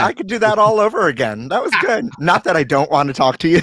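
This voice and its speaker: A man talks at a very fast pace and a high pitch with very wide pitch swings over noticeable background noise. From Brooklyn. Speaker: podcast host. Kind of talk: interview answer. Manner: upbeat, animated.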